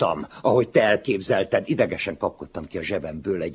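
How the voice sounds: Intonation here is lively. It comes in a natural reading voice.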